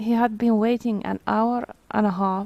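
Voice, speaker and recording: At a fairly slow pace, a woman speaks with a non-native accent at medium pitch. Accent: non-native accent, people guess its origin. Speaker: vtuber streamer. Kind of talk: reading aloud; casual chat. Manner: halting.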